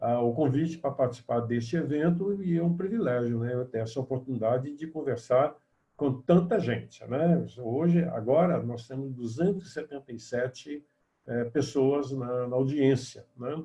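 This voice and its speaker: At a moderate pace, a man speaks at medium pitch in a somewhat breathy, dark, mellow tone with ordinary pitch variation. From Minas Gerais, Brazil. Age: 70s. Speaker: professor, former student union president. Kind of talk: panel discussion.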